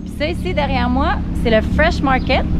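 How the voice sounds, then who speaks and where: A woman talks at a moderate pace in a dry sound with no echo, against loud background noise. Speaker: sailing vlogger. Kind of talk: casual vlog chat. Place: street. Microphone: phone near.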